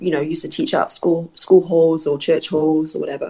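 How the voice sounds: A woman with a low pitch speaks at a moderate pace in a dark, mellow tone, with little pitch movement, a slightly husky edge and vocal fry.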